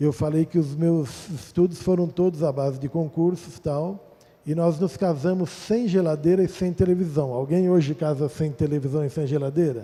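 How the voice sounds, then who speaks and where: Pausing hardly at all, a man with a fairly high pitch and a dark, mellow tone speaks at a moderate pace with ordinary pitch variation. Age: 60s. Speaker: pastor. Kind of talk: testimony. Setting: church.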